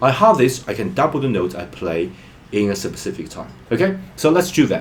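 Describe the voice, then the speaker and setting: With a non-native accent, a man speaks in a somewhat breathy voice with very wide pitch swings. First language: not English. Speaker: music learning vlogger. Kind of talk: tutorial.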